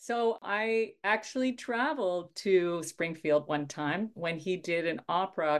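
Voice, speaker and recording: Against a quiet background, a woman speaks at a fairly low pitch with lively intonation. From Saskatchewan, Canada. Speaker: orchestra conductor. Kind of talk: radio interview.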